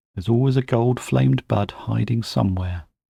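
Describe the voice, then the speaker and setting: A man speaks at a moderate pace in a somewhat breathy voice, with a dry, close sound, no echo, and a very clean recording over a silent background. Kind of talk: spoken-word folk horror storytelling, bedtime story. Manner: measured, storytelling narration.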